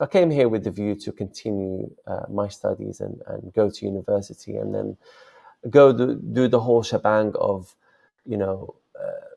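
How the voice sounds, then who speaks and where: A man speaks with a Moroccan accent. His pace is moderate. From Morocco. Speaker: software founder and online seller. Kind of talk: interview. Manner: hesitant, many fillers.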